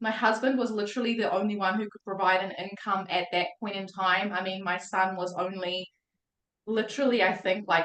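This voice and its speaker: A woman with a New Zealand accent and a medium pitch talks at a moderate pace, her loudness swinging widely. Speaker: mindset coach. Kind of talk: testimony. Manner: animated.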